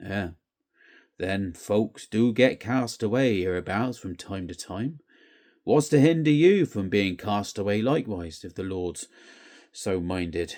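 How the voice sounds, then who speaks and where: A man uses a put-on, growling character voice, fairly low in pitch and fairly slow, with big swings in loudness. The recording is very clean, with a silent background. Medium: read story. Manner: growling, sulky.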